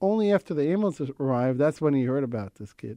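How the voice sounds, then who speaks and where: This man talks at a very fast pace. His pitch is fairly high. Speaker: emergency service founder. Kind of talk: interview. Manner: halting.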